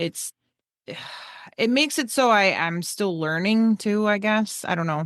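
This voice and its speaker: With a New York accent, a woman speaks at a medium pitch and a fairly slow pace, leaving long, frequent pauses, her intonation lively against a quiet background. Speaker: true crime podcast co-host. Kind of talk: casual chat.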